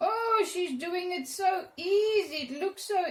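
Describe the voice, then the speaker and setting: A woman speaks at an extremely high pitch. Her intonation is lively. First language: Afrikaans. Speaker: art teacher. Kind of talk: tutorial. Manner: halting.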